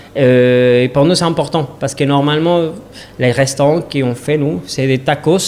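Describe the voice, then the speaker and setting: The speaker is a man with a medium pitch. He keeps a moderate pace and fairly even intonation. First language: Spanish (speaking French). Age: 30s. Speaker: restaurant owner. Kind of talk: interview. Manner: halting.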